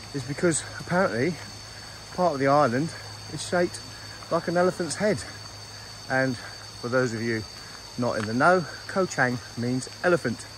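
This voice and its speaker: Long, frequent pauses in a dry sound with no echo, set against noticeable background noise. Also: moderate pace. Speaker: travel vlogger. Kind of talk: casual vlog chat. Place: forest. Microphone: phone near.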